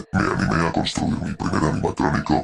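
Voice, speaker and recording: A man puts on a character voice. He talks at a moderate pace over clear background noise. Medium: read story. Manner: proud, gloating.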